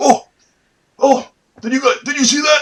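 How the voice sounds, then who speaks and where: A man is doing a put-on character voice. It sits at an extremely high pitch. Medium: actual play.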